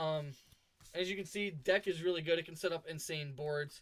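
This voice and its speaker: The speaker is a man. His pitch is high and his intonation fairly even. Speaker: gaming YouTuber. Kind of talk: tutorial. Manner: fast.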